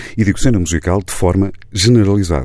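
Very deep and low in pitch, a man's voice has vocal fry and a dark, mellow tone. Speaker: radio host. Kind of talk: radio interview. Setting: radio studio. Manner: formal.

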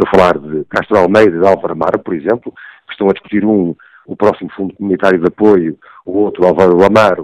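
The sound is dry and close, with no echo. A man talks at a very fast pace. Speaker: newspaper executive editor, commentator. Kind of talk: political analysis on radio. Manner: halting, many fillers.

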